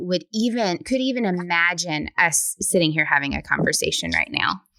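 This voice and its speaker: A bright, sharp tone in a Southern US accent comes through with ordinary pitch variation and a dry, close sound with no echo. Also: woman. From US South. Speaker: podcast host. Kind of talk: interview.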